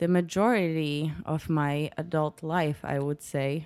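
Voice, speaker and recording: On a very clean recording with a silent background, a woman with a Polish accent speaks with ordinary pitch variation. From Poland, Poznań. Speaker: lighting designer. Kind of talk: casual interview. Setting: home kitchen.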